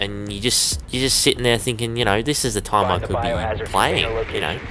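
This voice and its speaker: Speech moves at a fairly quick pace with ordinary pitch variation. The tone is bright and sharp, with an Australian accent. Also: man. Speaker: gaming YouTuber. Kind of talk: gameplay commentary. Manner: casual.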